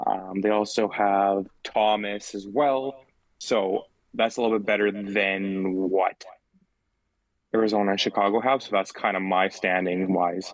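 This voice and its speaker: A man's normal speaking voice, fairly low in pitch, with fairly even intonation at a fairly slow pace. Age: 20s. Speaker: podcast host. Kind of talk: casual chat. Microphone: echo.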